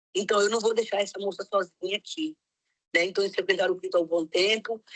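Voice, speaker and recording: A woman's plain, everyday voice, a plain, everyday voice at medium pitch, fairly quick and fairly even in intonation, with a dry, close sound and no echo. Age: 60s. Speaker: missionary. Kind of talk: testimony.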